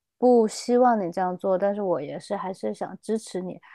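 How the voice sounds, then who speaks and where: A woman's dark, mellow tone comes through with a dry, close sound, no echo and a quiet background. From China, Chengdu, Sichuan. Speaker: health improvement practitioner and skydiver. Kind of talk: interview. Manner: hesitant, many fillers.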